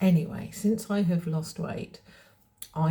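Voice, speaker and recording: The voice is somewhat breathy and dark and mellow in tone, moving at a moderate pace. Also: woman. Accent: English. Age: 60s. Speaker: fashion vlogger. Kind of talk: casual vlog talk. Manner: hesitant, with fillers.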